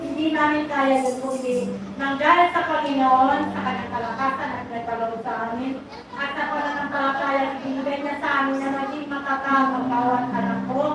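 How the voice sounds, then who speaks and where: Amid noticeable background noise and audible room echo, a woman speaks at a high pitch and a moderate pace in a monotone, flat intonation. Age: 60s. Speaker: church member. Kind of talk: testimony. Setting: church. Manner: halting.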